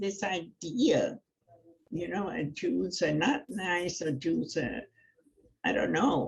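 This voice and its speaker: A woman with a German accent speaks very slowly in a somewhat breathy voice. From Germany, then England. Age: 90s. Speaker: Holocaust survivor. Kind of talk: testimony. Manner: halting.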